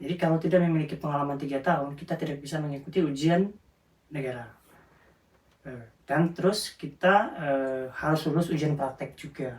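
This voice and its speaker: A man speaks quickly at a fairly high pitch, his voice somewhat breathy. His intonation stays fairly even. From South Sumatra, Indonesia (Lubuk Linggau). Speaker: care worker. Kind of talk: interview. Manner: halting.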